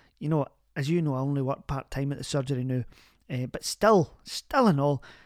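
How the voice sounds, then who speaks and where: In a Glaswegian accent, a woman with a warm tone speaks at a very fast pace, with a dry, close sound and no echo. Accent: Glaswegian Scottish. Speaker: community radio advice show host. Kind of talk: phone-in advice show. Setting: studio. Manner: warm, chatty.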